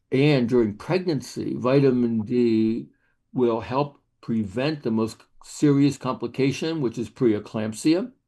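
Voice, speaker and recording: Over a quiet background, a man speaks at a very slow pace in a dark, mellow tone. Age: 80s+. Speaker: physician and vitamin D researcher. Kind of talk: interview.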